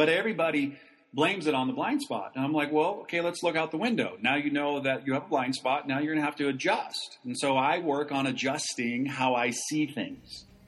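A man's normal speaking voice, fairly high in pitch, at a fairly quick pace with ordinary pitch variation and hardly any pauses. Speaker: entrepreneur and podcaster. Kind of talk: casual interview chat.

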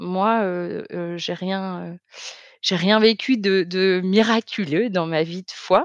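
Speaking at a very slow pace, a woman uses medium pitch and ordinary pitch variation, with big swings in loudness. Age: 30s. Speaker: testimony guest, soap maker. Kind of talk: testimony. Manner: halting, many hesitations.

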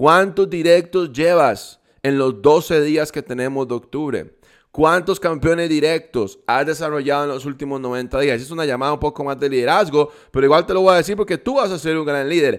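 Recorded very cleanly against a silent background, a man talks in an animated tone at a moderate pace, with fairly high pitch and ordinary pitch variation. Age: 20s. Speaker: network marketing leader. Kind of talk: motivational talk.

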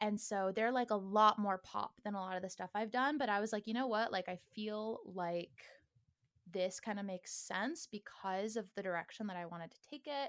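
An ordinary speaking voice with an American accent moves at a moderate pace, showing ordinary pitch variation and big swings in loudness. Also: woman, medium pitch for a woman. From Northern California. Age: 20s. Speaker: musician. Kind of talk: casual interview.

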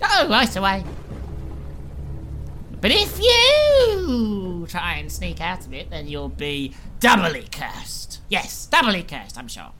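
A female-sounding put-on character voice speaks at a fairly slow pace with long, frequent pauses over clear background noise. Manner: pleased, wicked.

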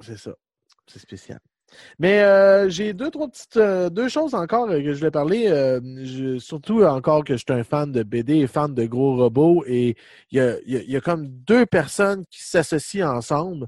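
The recording is very clean, with a silent background. A man speaks at a fairly slow pace in a fairly high voice, swinging very widely in pitch. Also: dry, close sound with no echo. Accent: Quebec. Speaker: podcast host. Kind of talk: casual chat.

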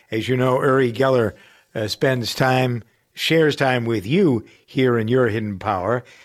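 In a very clean recording with a silent background, a man speaks in a plain, everyday voice at a moderate pace, with a medium pitch and ordinary pitch variation. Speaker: radio host. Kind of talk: casual interview chat.

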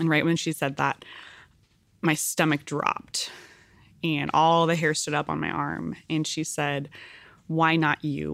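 A woman with an American accent speaks in a very deep, low voice with vocal fry, a flat, monotone delivery, a fairly slow pace and long, frequent pauses, on a very clean recording with a silent background. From California, Central Valley and Central Coast. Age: 30s. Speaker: congressional candidate and activist. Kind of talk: interview conversation.

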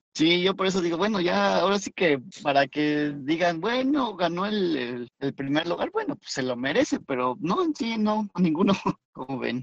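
A man's high-pitched voice with very wide pitch swings at a moderate pace. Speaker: podcast co-host. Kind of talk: casual chat. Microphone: poor phone audio.

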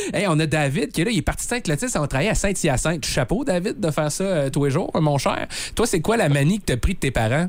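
Very fast talk from a man in a Quebec accent, fairly high in pitch, with lively intonation and very even loudness. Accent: Québécois French. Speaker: morning radio host. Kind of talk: casual radio chat. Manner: animated.

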